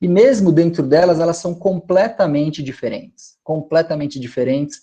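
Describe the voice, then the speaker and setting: A man's dark, mellow tone carries ordinary pitch variation against a quiet background. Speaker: lecturer on stingless beekeeping. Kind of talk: online lecture. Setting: video call from home.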